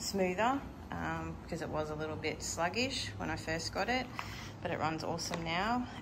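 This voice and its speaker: The speaker has an Australian accent. There is audible room echo and noticeable background noise. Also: woman. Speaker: motorcycle vlogger. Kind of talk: casual chat.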